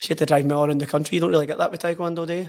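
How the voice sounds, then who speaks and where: Speaking with a Lanarkshire accent, a man has a fairly high pitch and ordinary pitch variation. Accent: Scottish (Lanarkshire). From Scotland, Hamilton. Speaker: footballer. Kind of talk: casual chat. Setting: studio.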